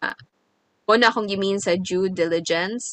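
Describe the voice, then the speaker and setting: A woman's bright, sharp voice, fairly high in pitch with ordinary variation, in a Visayan Filipino accent, with a dry, close sound and no echo. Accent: Filipino (Cebuano) English. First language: Cebuano. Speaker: podcast co-host. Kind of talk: casual chat.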